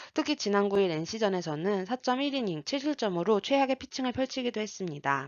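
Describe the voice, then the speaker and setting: Very wide pitch swings from a woman at a fairly quick pace. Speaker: sports betting analyst. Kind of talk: scripted sports analysis narration.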